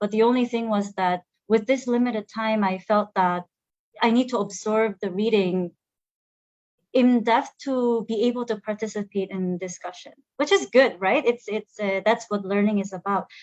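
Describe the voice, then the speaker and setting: A woman speaks with a Korean accent. Her intonation stays fairly even. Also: fairly high pitch for a woman, moderate pace. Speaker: program alumna, human resources officer. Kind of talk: online panel interview. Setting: online video stream. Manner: halting, many fillers and repetitions.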